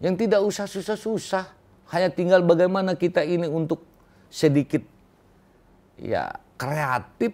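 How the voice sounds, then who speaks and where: A man with a high-pitched voice talks at a moderate pace, stopping for long, frequent pauses. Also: ordinary pitch variation. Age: old. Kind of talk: interview. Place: office.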